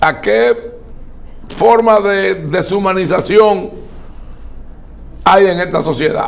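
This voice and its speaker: Over noticeable background noise, a man with a high pitch and ordinary pitch variation speaks at a very slow pace with long, frequent pauses. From Dominican Republic. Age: 60s. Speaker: political commentator. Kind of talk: interview. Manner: formal.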